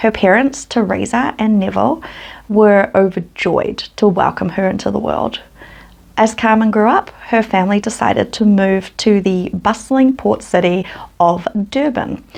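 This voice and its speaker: A woman with a New Zealand accent speaks at medium pitch and a moderate pace, with ordinary pitch variation. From New Zealand, West Auckland. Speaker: true crime youtuber. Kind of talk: storytelling narration. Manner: casual, conversational.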